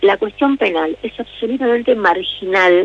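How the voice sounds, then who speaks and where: Over noticeable background noise, a woman talks fairly slowly in a fairly high voice with lively intonation. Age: 60s. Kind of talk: interview. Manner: halting.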